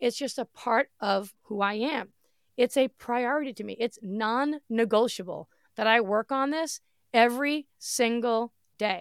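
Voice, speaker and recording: With a fairly high pitch and ordinary pitch variation, a woman talks at a fairly slow pace in an animated tone, recorded with a dry, close sound and no echo. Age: 40s. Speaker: podcast host and online entrepreneur. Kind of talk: solo motivational podcast talk. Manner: loud and bold.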